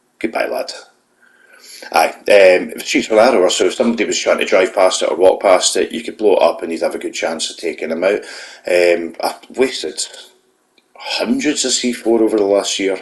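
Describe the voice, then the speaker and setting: A man with a Scottish accent speaks at a fairly quick pace. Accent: Scottish brogue. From Scotland. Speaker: gaming YouTuber. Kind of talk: gameplay voiceover commentary. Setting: voiceover recorded after gameplay. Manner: casual, hesitant with fillers.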